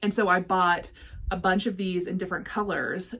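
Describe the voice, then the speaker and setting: Over noticeable background noise, a woman with a medium pitch speaks in an animated tone. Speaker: crafting vlogger. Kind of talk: casual vlog chat. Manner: fast.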